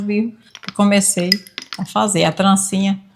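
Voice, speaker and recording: A woman is heard at a medium pitch. She keeps to a moderate pace. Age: 60s. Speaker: lacemaker. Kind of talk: interview testimony.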